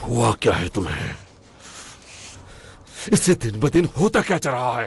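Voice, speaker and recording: Using a put-on character voice, a man speaks at a medium pitch. His pitch swings very widely. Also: moderate pace. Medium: fan dub.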